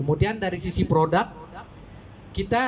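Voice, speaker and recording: A man's voice rises and falls in an ordinary way while light noise hums in the background. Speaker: telecom brand sales manager. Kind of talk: press event presentation. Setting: media gathering event. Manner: halting, many fillers. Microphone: handheld.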